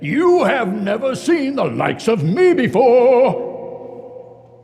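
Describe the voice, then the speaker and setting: In a put-on character voice, a man speaks at an extremely high pitch and a very slow pace, with clear echo around him. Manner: hearty, jovial.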